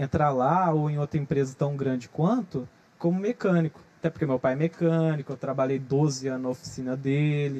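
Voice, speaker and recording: With a dark, mellow tone and a fairly high pitch, a man speaks at a moderate pace with ordinary pitch variation. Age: 20s. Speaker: social media influencer. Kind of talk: casual interview chat.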